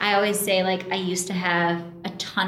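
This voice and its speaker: A woman with an American accent and a medium pitch talks fairly quickly. Noticeable background noise and audible room echo are present. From US, Colorado. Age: 20s. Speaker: food blogger. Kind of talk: casual chat. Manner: casual, many fillers.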